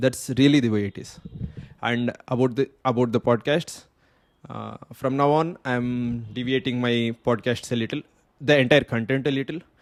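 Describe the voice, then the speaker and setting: A man at a medium pitch in a normal speaking voice, moderate in pace and fairly even in intonation, with a dry, close sound with no echo. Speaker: podcast host. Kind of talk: solo podcast monologue. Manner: unscripted, repetitive.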